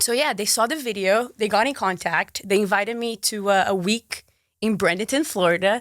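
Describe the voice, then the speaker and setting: A woman talks in a fairly high pitch with an animated tone. Her pace is moderate and her pitch variation ordinary. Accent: Brazilian. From Brazil, Marília and Manaus. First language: Portuguese. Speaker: sports presenter and content creator. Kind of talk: casual interview chat.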